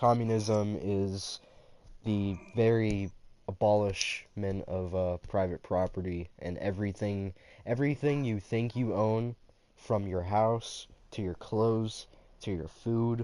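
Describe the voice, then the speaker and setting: Against a quiet background, a man speaks at a very slow pace with a fairly low pitch. His tone is dark and mellow, and his intonation is fairly even. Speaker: livestreamer. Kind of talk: casual chat. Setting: livestream from a games console. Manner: slight slur.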